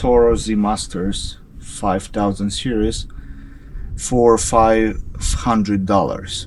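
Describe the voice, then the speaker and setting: Speaking at a very slow pace with a non-native accent, a man is heard over noticeable background noise and audible room echo. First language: not English. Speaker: hobby mechanic and video creator. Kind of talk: casual vlog narration. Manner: halting, with fillers.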